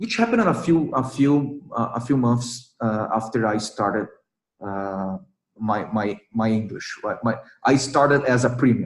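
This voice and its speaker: Speaking with a non-native accent, a man holds a medium pitch. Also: ordinary pitch variation, moderate pace. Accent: non-native English, hesitant. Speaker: English learner sharing experience. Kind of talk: casual chat. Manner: halting, many fillers and repetitions.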